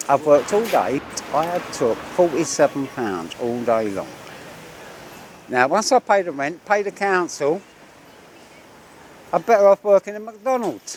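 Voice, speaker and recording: A man with a London accent speaks at a fairly slow pace and high pitch, with very wide pitch swings. Long, frequent pauses break his speech, and background noise is noticeable. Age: 70s. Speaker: coffee seller. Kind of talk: casual chat.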